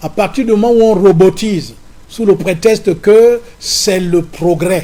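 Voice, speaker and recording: A man with a high pitch speaks fairly slowly, his pitch moving in an ordinary way. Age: 70s. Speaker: opposition politician. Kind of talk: political interview.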